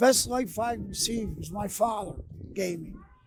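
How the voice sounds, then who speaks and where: With a Philadelphia accent, a man speaks at a high pitch over noticeable background noise. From Philadelphia, US. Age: 60s. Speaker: security guard. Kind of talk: interview. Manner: halting.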